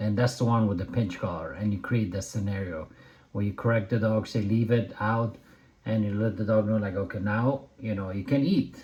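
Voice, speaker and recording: A dark, mellow tone at a moderate pace with ordinary pitch variation. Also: man, fairly low pitch for a man. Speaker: dog trainer. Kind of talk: video commentary. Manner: loud; casual, animated.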